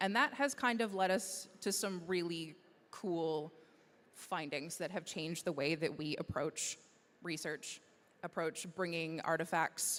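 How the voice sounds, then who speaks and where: With an unremarkable speaking voice, a woman talks at a fairly low pitch with ordinary pitch variation. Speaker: conference presenter. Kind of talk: presentation.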